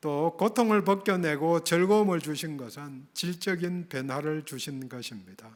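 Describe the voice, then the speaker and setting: On a very clean recording with a silent background, a man with a high voice and a slight Gyeongsang accent speaks fairly slowly with hardly any pauses, using lively intonation and big swings in loudness. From Gyeongsang region, South Korea. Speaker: pastor. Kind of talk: sermon.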